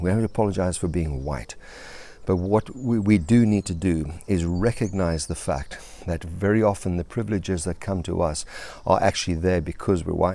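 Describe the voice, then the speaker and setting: A man's very deep, low voice, dark and mellow in tone, at a fairly quick pace with ordinary pitch variation. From South Africa. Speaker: life coach and pastor. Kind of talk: video monologue. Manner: halting, with many fillers and restarts.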